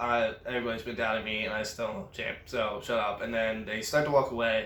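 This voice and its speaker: Audible room echo surrounds a man speaking in a bright, sharp tone. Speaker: wrestling reviewer. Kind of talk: casual recap.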